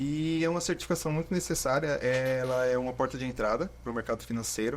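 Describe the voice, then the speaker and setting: A man with an unremarkable speaking voice, pitched in the middle range. He talks at a moderate pace with fairly even intonation. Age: 20s. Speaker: financial advisor and marketing student. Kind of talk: podcast interview. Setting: studio.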